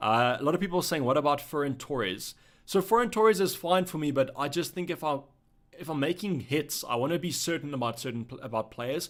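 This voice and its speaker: This man talks at a very fast pace with a fairly high pitch and lively intonation. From South Africa. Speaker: fantasy football streamer. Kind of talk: live stream chat Q&A. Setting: live stream. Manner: casual, conversational.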